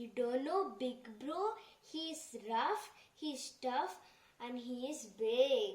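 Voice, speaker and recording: In a cartoonish character voice, a woman speaks high and at a very slow pace. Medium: puppet show. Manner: excited, repetitive.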